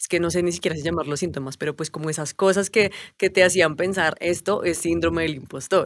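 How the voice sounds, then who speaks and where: A woman's ordinary speaking voice, fairly low in pitch, with fairly even intonation and a fairly quick pace. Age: 30s. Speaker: stand-in co-host. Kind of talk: casual chat.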